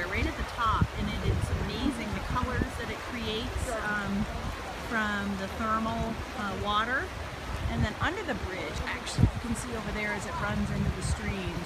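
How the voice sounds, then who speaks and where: Loud background noise fills the clip. The sound is dry, with no echo. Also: moderate pace. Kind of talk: casual vlog chat. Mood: cheerful, enthusiastic. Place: waterside. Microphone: phone near.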